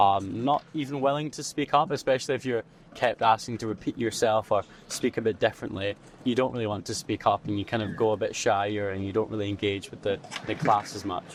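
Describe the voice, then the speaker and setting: Man at medium pitch, fairly quick pace, ordinary pitch variation. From Scotland. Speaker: university student, society co-founder. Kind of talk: interview.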